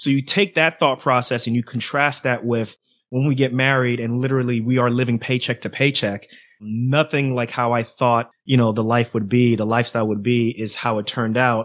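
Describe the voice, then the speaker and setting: In an ordinary speaking voice, a man of medium pitch talks with an American accent and fairly even intonation. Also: fairly quick pace. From New York City and New Jersey. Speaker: physician and podcaster. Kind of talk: casual interview.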